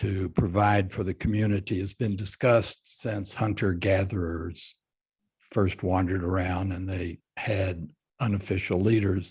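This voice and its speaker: A man with an American accent and a fairly low pitch talks at a moderate pace, somewhat breathy, against a quiet background. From Texas, Fort Worth. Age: 80s+. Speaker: business leader. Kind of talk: panel interview. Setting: video call.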